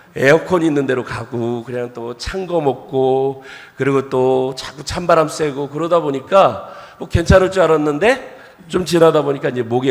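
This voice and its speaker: A man at medium pitch with ordinary pitch variation, against noticeable background noise. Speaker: pastor. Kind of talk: sermon. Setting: church.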